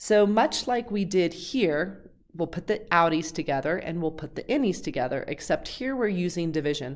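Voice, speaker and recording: A woman with a fairly low pitch talks with lively intonation and hardly any pauses. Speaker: high school math teacher. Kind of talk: tutorial. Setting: recorded video lesson. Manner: fast.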